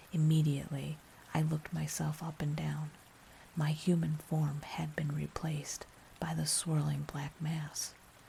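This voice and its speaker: A whisper at a fairly slow pace. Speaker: ASMR horror narrator. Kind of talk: ASMR scary story narration. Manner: whispered.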